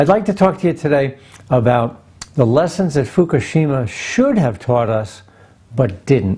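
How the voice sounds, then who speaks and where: A man talks at a moderate pace in a fairly high voice with very wide pitch swings. His tone is dark and mellow and somewhat breathy. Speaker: nuclear engineer giving a presentation. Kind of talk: recorded presentation.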